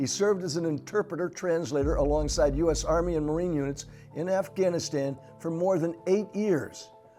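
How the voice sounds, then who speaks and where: Over music in the background, a man speaks at a fairly quick pace. His pitch is high, with ordinary pitch variation. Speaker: TV show host. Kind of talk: show introduction.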